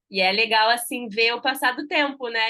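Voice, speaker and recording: Her voice is high-pitched. The woman speaks at a moderate pace. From Rio de Janeiro, Brazil. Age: 30s. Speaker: journalist and mother telling her breastfeeding story. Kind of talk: podcast interview, personal story. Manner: animated.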